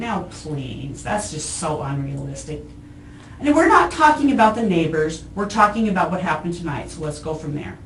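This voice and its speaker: A fairly quick-paced woman with very wide pitch swings amid noticeable background noise. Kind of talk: police interrogation answer. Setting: police interview room. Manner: sarcastic, dismissive, irritated.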